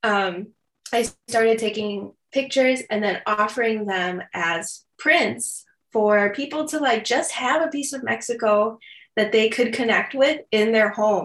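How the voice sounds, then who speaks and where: A woman speaks fairly slowly in an American accent. Her pitch is fairly high, with ordinary variation. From Chicago south suburbs, US. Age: 30s. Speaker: photographer and podcaster. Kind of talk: interview chat.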